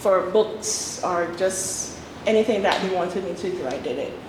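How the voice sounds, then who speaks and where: A woman talks at a fairly slow pace. Noticeable background noise and audible room echo surround her voice. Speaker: voice actor and playwright. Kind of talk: talk with Q&A.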